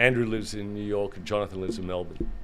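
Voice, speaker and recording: A man talks at a very fast pace in an Australian accent. His pitch is fairly low. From Australia, Sydney. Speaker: gaming industry executive. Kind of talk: interview conversation.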